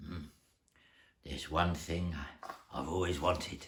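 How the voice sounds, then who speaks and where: A man uses a put-on character voice with a very deep, low pitch. It sounds raspy and moves at a moderate pace. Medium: read story.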